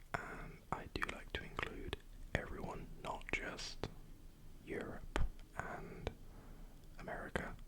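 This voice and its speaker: Over noticeable background noise, a man whispers at a very slow pace with long, frequent pauses. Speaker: ASMR creator. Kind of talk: ASMR whispered ramble. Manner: whispered, soft-spoken.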